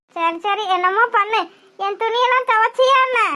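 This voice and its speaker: A woman does a cartoonish character voice at an extremely high pitch and a fairly slow pace. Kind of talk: village dialect comedy. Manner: nagging, bossy, rustic.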